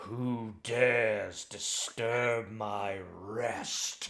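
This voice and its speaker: In a put-on character voice, a man booms at a medium pitch with monotone, flat intonation. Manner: commanding, menacing.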